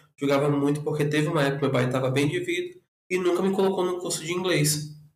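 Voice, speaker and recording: Audible room echo surrounds a man whose fairly high pitch holds a fairly even intonation. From northern Brazil (Rondônia and Acre). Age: 20s. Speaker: podcast guest. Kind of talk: casual chat.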